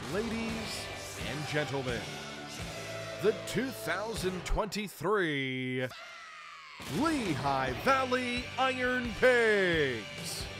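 Over music in the background, a man with a high pitch speaks at a very slow pace in a raised, projected voice, making very wide pitch swings and long, frequent pauses. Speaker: public address announcer. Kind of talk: stadium public address announcement. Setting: PA system. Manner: polished, energetic.

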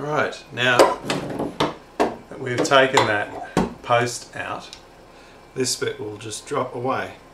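A man's voice with ordinary pitch variation and light background noise. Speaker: DIY hobbyist. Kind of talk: casual talk while working. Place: office.

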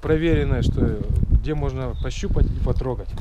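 Through loud background noise, a man speaks fairly slowly in a dry sound with no echo. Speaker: vlogger visiting a parts yard. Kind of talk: casual vlog chat. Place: open country. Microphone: phone near.

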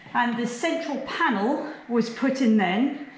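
A woman talks at a fairly slow pace. Light background noise and audible room echo are present. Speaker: house custodian tour guide. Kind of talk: guided tour explanation. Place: hall.

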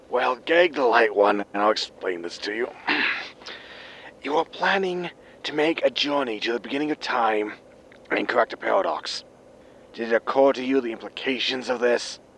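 Using a put-on character voice, a man speaks raspy and at medium pitch with lively intonation, a moderate pace and long, frequent pauses. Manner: grim, scolding, threatening.

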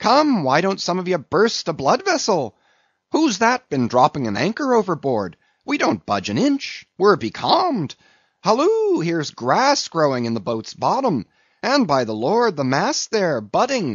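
In a put-on character voice, a man talks at a high pitch with very wide pitch swings and a slightly husky edge, at a fairly slow pace, the sound dry and close with no echo.

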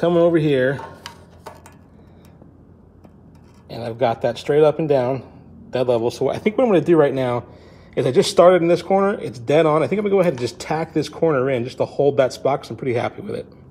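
With a dark, mellow tone, a man talks at a very fast pace and ordinary pitch variation. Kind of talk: tutorial. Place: garage. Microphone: phone near.

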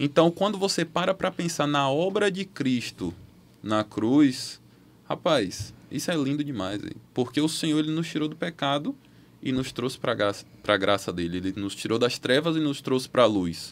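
The voice makes very wide pitch swings while keeping a moderate pace. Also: man, fairly high pitch for a man. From Bahia, Brazil (Feira de Santana); Bahia, Brazil. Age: 20s. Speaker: medical student; podcast guest. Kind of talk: casual chat. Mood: earnest, testimonial. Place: studio. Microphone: studio mic.

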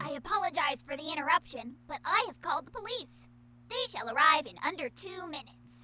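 A high-pitched put-on character voice. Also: fairly quick pace. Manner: cheerful, formal, rule-bound.

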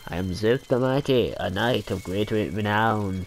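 A man does a put-on character voice at a fairly low pitch and moderate pace. Clear background noise can be heard. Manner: pompous.

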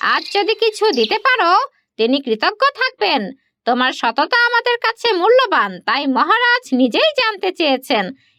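A woman's cartoonish character voice at an extremely high pitch and a moderate pace. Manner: formal, measured.

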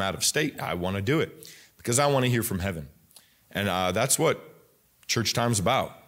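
An ordinary speaking voice with ordinary pitch variation moves at a fairly quick pace over a quiet background. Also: man. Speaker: pastor. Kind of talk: sermon. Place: church. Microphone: podium.

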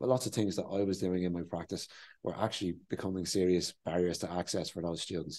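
A man speaks very fast in a very deep, low pitch with a dark, mellow tone. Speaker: interviewee. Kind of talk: interview answer. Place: meeting room. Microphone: lapel.

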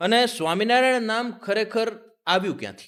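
The man's pitch is high. It varies in an ordinary way. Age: 20s. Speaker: podcast host. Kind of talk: interview.

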